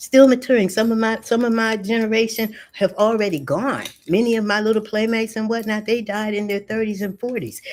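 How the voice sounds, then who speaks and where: Talking at a fairly quick pace with hardly any pauses, a woman uses a fairly high pitch. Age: 60s. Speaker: spiritual teacher. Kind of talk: interview. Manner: animated.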